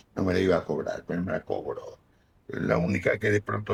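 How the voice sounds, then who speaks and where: A man talks with a Rioplatense accent. His voice is somewhat breathy. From Buenos Aires, Argentina. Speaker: actor and comedian. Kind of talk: interview answer. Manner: casual anecdotal storytelling.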